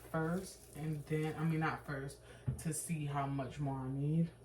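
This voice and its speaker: Over noticeable background noise, a woman talks at moderate speed. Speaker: cooking vlogger. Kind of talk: casual cooking vlog. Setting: home kitchen at night. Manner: quiet, hushed.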